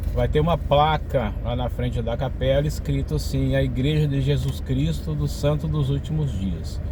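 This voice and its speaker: With a Minas Gerais accent, a man talks at a moderate pace in a very deep, low voice with fairly even intonation and hardly any pauses. Room echo is audible, and background noise is noticeable. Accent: Brazilian Portuguese, mineiro. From Brazil, Minas Gerais (Caratinga region). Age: 60s. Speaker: church member giving testimony. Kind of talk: personal testimony to camera. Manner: conversational, many fillers.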